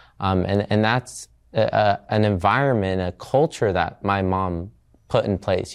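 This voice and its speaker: A man with an American accent speaks at a moderate pace in a fairly low, unremarkable speaking voice with ordinary pitch variation. The background is quiet. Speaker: university student. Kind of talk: interview testimony.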